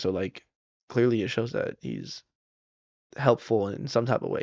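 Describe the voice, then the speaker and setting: In a normal speaking voice, a man with an American accent talks at a fairly quick pace. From Southern California. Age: 20s. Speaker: comedian. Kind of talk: casual chat.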